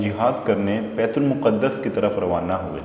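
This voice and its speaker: Over noticeable background noise, a man speaks with a fairly low pitch and ordinary pitch variation. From Pakistan. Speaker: voice over artist. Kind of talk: Islamic story narration.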